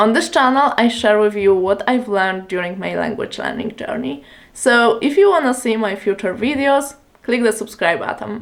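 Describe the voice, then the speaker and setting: A woman with a Polish accent speaks at a moderate pace, her fairly high voice carrying lively intonation. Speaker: language learning youtuber. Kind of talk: tutorial.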